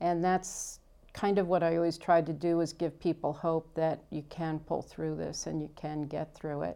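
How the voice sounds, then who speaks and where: In an American accent, a woman speaks at a moderate pace with a fairly low pitch and a dark, mellow tone. Her intonation is monotone and flat on a very clean recording with a silent background. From New York, Long Island. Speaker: escrow officer. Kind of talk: interview.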